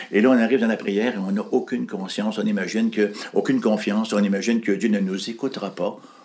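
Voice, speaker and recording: Very fast speech from a man, fairly even in intonation, with noticeable background noise. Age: 60s. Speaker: pastor. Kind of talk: interview.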